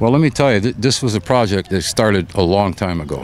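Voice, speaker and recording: The speaker shows ordinary pitch variation over noticeable background noise. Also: man. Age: 70s. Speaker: professional golfer. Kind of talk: interview.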